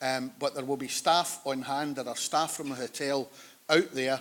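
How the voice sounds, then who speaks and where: A man with a West of Scotland accent, medium pitch, fairly even intonation and a moderate pace. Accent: West of Scotland Scottish. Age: 60s. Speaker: conference chair. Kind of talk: conference opening remarks. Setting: conference hall with audience. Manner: informal, joking.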